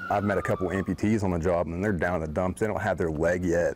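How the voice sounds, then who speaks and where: Noticeable background noise surrounds this recording. A man speaks in a very deep, low pitch. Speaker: paramedic. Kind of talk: interview answer.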